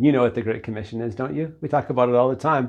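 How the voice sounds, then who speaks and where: A man talks with vocal fry and ordinary pitch variation. The background is quiet. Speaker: pastor. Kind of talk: sermon. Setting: church service recorded online. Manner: tired, joking.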